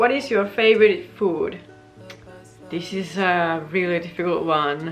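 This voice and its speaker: Someone with a Finnish accent talks at a fairly slow pace with ordinary pitch variation. Audible room echo and noticeable background noise fill the recording. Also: woman. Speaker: vlogger. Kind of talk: casual chat.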